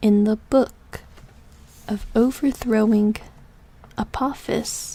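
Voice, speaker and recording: A woman whispering at a very slow pace. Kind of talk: sleep story. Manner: whispered.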